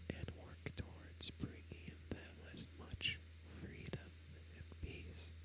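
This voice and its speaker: A man whispers in a soft-spoken way at a very slow pace over noticeable background noise. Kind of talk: whispered ASMR gaming commentary. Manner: whispered, soft-spoken, slow.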